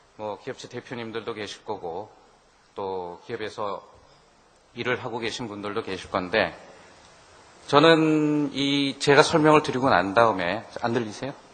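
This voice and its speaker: At a fairly slow pace, a man with a medium pitch speaks with lively intonation, big swings in loudness and long, frequent pauses. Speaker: business consultant giving a seminar talk. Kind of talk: lecture. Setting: seminar room with audience. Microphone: too quiet for audience at first.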